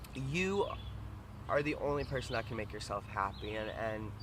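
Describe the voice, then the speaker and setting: A man speaks loudly at a moderate pace, his bright, sharp tone edged with vocal fry. Room echo is audible. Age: 20s. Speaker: vlogger. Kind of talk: casual vlog monologue. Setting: outdoors by the water. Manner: halting, repetitive.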